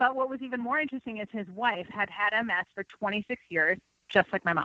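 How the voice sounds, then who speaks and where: With a slight Minnesota accent, a woman rattles along at a very fast pace using ordinary pitch variation. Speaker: nutrition consultant. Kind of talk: interview.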